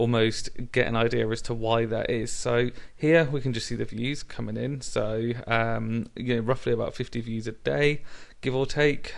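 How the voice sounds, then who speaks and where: The man's speech comes at a moderate pace. He talks with a British accent. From Britain. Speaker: YouTuber. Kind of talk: tutorial. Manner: hesitant, many fillers.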